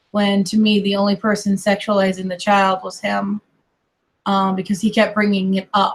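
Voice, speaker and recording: A somewhat breathy woman's voice in an American accent, with monotone, flat intonation. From US, mixed: Colorado, California, Kentucky family. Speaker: online streamer. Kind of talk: casual chat.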